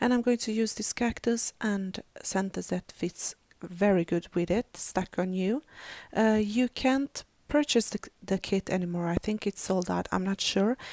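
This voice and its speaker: At a fairly slow pace, a woman speaks at medium pitch with ordinary pitch variation, in dry, close sound with no echo on a very clean recording with a silent background. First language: not English; English is third language. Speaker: crafting YouTuber. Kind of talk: tutorial. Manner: halting, many fillers.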